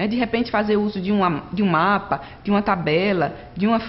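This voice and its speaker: There is audible room echo and noticeable background noise. A woman speaks at a medium pitch with ordinary pitch variation. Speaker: online course instructor. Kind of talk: lecture. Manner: fast.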